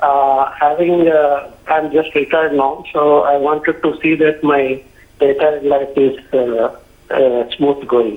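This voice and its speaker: Delivering his words at a very slow pace, a man keeps his intonation fairly even. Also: fairly high pitch for a man, very even loudness. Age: 60s. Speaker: retiree caller. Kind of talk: phone-in question. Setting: phone call. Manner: halting, many fillers.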